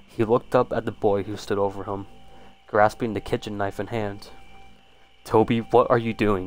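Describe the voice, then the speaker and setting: Music plays behind a man whose fairly low voice stays monotone and flat. He keeps a moderate pace, with long, frequent pauses. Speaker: YouTube creepypasta narrator. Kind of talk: one-take horror story read-aloud, the narrator acting out a violent struggle scene. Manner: stumbling, repeats words when misreading.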